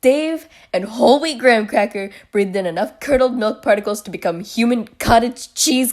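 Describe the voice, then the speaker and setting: At a fairly quick pace, a woman talks with a high pitch. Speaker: commentary youtuber. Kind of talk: reaction commentary. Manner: animated.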